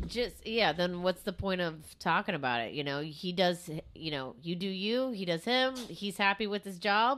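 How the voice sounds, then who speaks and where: A woman's ordinary speaking voice at a moderate pace, medium in pitch with lively intonation. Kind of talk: casual comedic banter. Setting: live show, streamed on YouTube.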